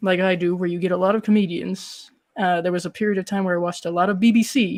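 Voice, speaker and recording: A woman with an American accent, medium pitch and a fairly quick pace, on a very clean recording with a silent background. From Colorado, US. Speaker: horror film reviewer and YouTuber. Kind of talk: casual interview chat. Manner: sing-song delivery.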